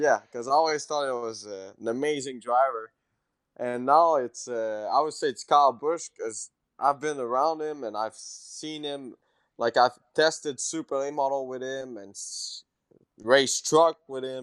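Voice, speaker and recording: In a dry, close recording with no echo and a quiet background, a man speaks in a Quebec French accent. His pace is fairly slow, with ordinary pitch variation. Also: big swings in loudness. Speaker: race car driver. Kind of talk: interview. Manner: halting.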